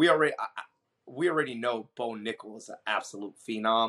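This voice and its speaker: With an American accent, a man speaks at medium pitch in a bright, sharp tone. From New York, then Georgia. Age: 30s. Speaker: MMA fighter. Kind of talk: casual chat.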